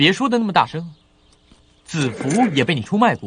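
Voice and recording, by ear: At a moderate pace, the speaker puts on a character voice with a husky, rough edge, a fairly bright tone and big pitch swings. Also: man, fairly high pitch for a man.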